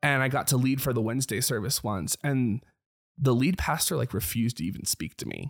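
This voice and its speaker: With lively intonation and vocal fry, a man talks at a fairly quick pace and medium pitch in a dry, close sound with no echo. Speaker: former worship leader. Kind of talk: casual chat.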